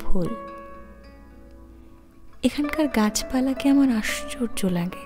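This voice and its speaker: With music in the background, the speaker is soft-spoken with a calm tone and lively intonation. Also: woman. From Bengali-speaking. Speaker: ASMR reader. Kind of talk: soft-spoken ASMR book reading. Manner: calm, soft.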